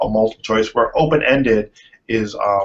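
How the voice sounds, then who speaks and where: Pitched at a medium level, a man talks with fairly even intonation. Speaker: user research consultant. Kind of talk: presentation. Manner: fast.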